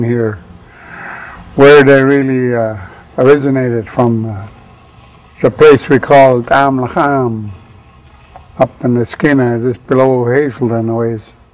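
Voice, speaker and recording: Here a man talks at a fairly slow pace in a medium pitch. Noticeable background noise is present. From northern British Columbia coast, First Nations. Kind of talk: oral history interview. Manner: halting, many fillers.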